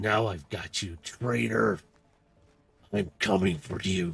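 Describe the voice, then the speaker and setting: Putting on a character voice, a man speaks with a very deep, low pitch and lively intonation. His pace is fairly slow. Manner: menacing.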